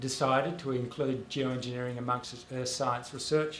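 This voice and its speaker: In a room with audible echo, a man speaks with an Australian accent. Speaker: author and public intellectual. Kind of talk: panel talk. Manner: halting, many fillers.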